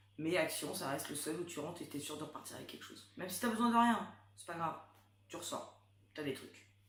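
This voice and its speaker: A woman's fairly low voice moves at a fairly quick pace, with big swings in loudness and audible room echo. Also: ordinary pitch variation. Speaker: YouTuber, mother. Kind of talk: casual chat.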